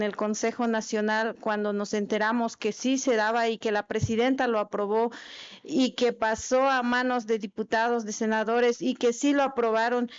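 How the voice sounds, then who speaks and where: Here a woman speaks with a fairly high pitch. Her pace is moderate. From Chiapas, Mexico. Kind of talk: formal speech at legislative meeting. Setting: meeting hall. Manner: halting, with fillers.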